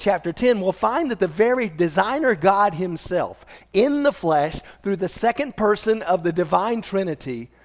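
With lively intonation, this natural reading voice moves along.

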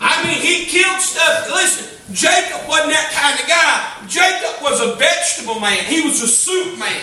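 Over noticeable background noise, a man with an extremely high pitch talks in a raised, projected voice at a moderate pace, animated in tone, lively in intonation and with hardly any pauses. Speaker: preacher. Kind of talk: sermon. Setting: church. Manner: animated, call-and-response, with crowd prompts like 'say amen'; conversational, emphatic repetition and stumbling phrases.

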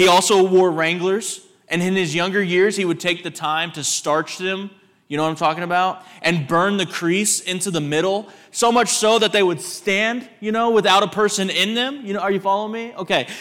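A man with a Texan accent and a high pitch speaks at a moderate pace in an animated tone, with ordinary pitch variation, in a very clean recording with a silent background. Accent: Texan American. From Texas. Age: 30s. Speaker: visiting preacher. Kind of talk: sermon. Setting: church.

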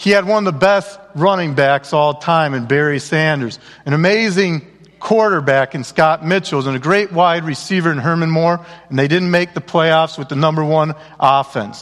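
The man has an unremarkable speaking voice at a fairly high pitch. He keeps a moderate pace with ordinary pitch variation. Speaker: guest speaker at a church. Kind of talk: comedic storytelling talk.

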